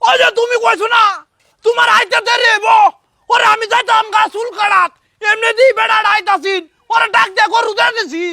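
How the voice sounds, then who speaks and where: A man shouts in a put-on character voice at a moderate pace. His pitch is extremely high. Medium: comedy sketch. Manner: whiny, defensive.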